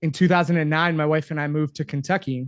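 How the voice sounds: Fast and fairly high-pitched, a man talks with an American accent and fairly even intonation.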